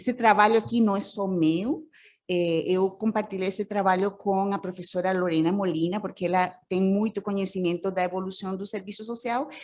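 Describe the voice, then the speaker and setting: With a Costa Rican accent, a woman speaks at a moderate pace in fairly even intonation. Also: medium pitch for a woman. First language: Spanish (speaking Portuguese). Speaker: social work professor. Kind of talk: conference presentation. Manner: halting, many fillers.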